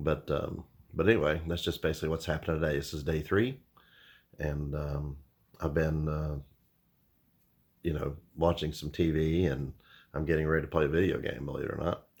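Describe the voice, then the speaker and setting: Talking at a fairly quick pace with long, frequent pauses, a man with a very deep, low pitch keeps his intonation fairly even on a very clean recording with a silent background. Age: 50s. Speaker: vlogger. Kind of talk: casual video diary. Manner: hesitant with many fillers.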